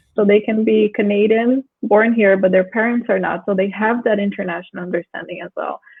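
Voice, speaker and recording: A woman's medium-pitched voice with a non-native accent, at a very fast pace with fairly even intonation. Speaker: discussion moderator. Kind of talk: panel discussion.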